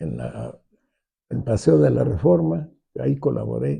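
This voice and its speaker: A man is speaking. His pace is very slow. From Mexico City. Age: 80s+. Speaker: architect. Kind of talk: interview. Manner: halting, many fillers and restarts.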